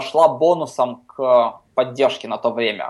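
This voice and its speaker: A man's normal speaking voice, fairly high in pitch, with ordinary pitch variation, over a quiet background. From Ukraine, Kharkiv. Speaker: software company CTO. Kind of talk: casual interview. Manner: many filler sounds.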